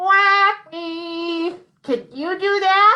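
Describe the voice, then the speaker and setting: An extremely high, nasal, put-on character voice. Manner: silly, wacky.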